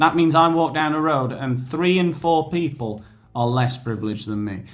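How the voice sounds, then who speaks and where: A man speaks at a moderate pace and a fairly high pitch. Audible room echo is present. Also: ordinary pitch variation. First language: not Spanish. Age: 30s. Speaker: YouTuber. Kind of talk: casual commentary on an online quiz. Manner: sarcastic, conversational.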